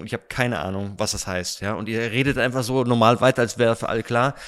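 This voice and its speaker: Over a silent background in a very clean recording, the speech runs very fast with fairly even intonation. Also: man. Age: 40s. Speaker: stand-in podcast host, youth ministry staff. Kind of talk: casual interview. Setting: dining hall at a retreat centre.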